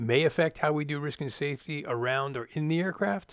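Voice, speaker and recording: A man with an American accent and a plain, everyday voice, fairly high-pitched, at a moderate pace, in a very clean recording with a silent background. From Florida. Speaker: podcast host, former flight test pilot. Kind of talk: scripted narration.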